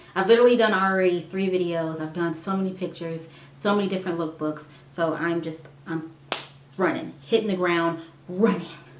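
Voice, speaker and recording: A woman's fairly low, fairly quick voice with fairly even intonation, amid noticeable background noise and audible room echo. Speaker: nursing student and vlogger. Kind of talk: casual vlog update. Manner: halting, stumbling; rambling.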